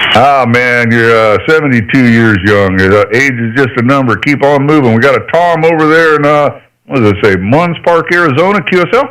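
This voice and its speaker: This man has a normal speaking voice at medium pitch, with an American accent and lively intonation. His pace is moderate, with hardly any pauses and very even loudness. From Idaho. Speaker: ham radio operator. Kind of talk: amateur radio contact. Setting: ham radio transmission. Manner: casual, folksy.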